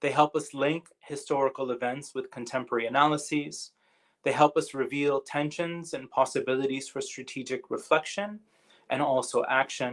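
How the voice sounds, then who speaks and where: Moderate speech in a North American accent with fairly even intonation. The recording is very clean, with a silent background. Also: man, fairly high pitch for a man. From Canada. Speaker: university lecturer. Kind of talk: lecture. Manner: halting, with fillers.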